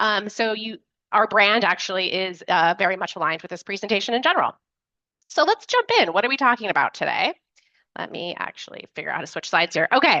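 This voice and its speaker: Very fast and lively in intonation, the speaker talks with an American accent in a bright, sharp tone, the sound dry and close with no echo. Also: woman, medium pitch for a woman. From New York City. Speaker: nonprofit tech consultant. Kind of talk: webinar presentation.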